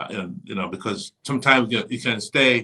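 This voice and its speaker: An ordinary speaking voice comes through here. The pace is moderate, and the pitch moves in an ordinary way. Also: man. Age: 60s. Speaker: bishop, church leader. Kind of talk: casual interview. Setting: live stream on social media.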